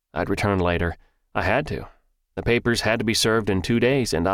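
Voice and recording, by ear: Someone reads aloud in a natural voice with ordinary pitch variation. Nothing much is heard in the quiet background.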